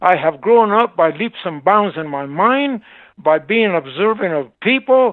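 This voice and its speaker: The speaker has an American accent and lively intonation. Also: man. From Arizona, Seligman. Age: 80s+. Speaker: shop owner. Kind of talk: interview. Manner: animated.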